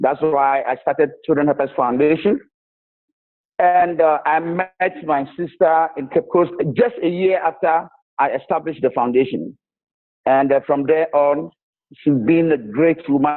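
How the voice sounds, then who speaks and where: Speaking at a fairly slow pace with long, frequent pauses, a man with a strong Ghanaian accent uses a fairly high pitch and ordinary pitch variation. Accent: Ghanaian, strong enough to need explaining. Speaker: charity founder. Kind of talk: interview. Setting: video call.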